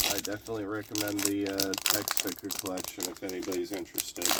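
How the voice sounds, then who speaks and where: This man is heard with noticeable background noise behind him. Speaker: trading card collector. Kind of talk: casual pack opening talk.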